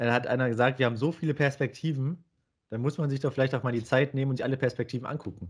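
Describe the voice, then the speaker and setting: A man speaks at a very fast pace. The recording is very clean, the background silent. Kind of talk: casual chat.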